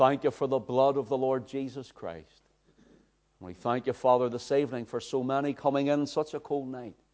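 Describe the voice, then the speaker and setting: Fairly even intonation marks speech delivered at a middling rate. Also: man. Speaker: preacher. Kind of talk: sermon.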